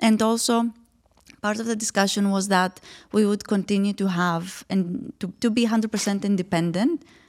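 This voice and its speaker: A woman with a Greek accent at medium pitch and moderate pace, fairly even intonation, dry, close sound with no echo, and a very clean recording with a silent background. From Greece. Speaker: startup founder. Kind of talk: interview.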